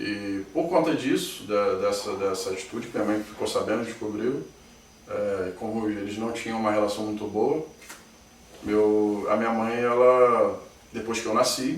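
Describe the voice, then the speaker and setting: A man at a medium pitch and moderate pace, with ordinary pitch variation, noticeable background noise and audible room echo. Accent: Rio de Janeiro. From Rio de Janeiro, Brazil (Niterói). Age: 30s. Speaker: interviewee claiming alien abduction. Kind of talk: testimony.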